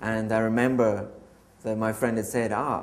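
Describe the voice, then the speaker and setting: Monotone, flat intonation marks this man's Scottish accent. His medium-pitched voice carries audible room echo. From Scotland. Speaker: church member. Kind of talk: testimony. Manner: hesitant, many filler ums.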